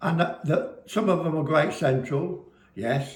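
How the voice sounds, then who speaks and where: Audible room echo surrounds a somewhat breathy man with an English Midlands accent. He speaks at a very slow pace with ordinary pitch variation. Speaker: business owner, former railway fireman. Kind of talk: casual chat to camera. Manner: animated.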